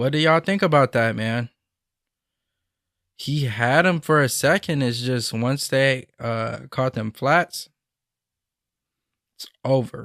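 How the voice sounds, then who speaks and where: A man's medium-pitched voice at a very slow pace, with ordinary pitch variation and long, frequent pauses. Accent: American. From Michigan. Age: 20s. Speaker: YouTuber reacting to police chase videos. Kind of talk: casual reaction commentary. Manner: casual, conversational.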